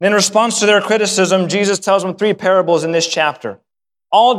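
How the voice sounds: Quiet background behind a natural reading voice with fairly even intonation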